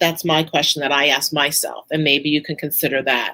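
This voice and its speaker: A woman speaks with a Brooklyn accent. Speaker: author and angel teacher. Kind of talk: live Q&A talk. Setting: live stream presentation.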